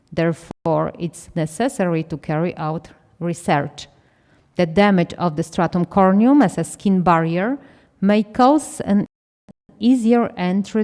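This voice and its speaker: A woman with a non-native accent, ordinary pitch variation and a very slow pace. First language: not English. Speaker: conference speaker, doctor. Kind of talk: conference presentation.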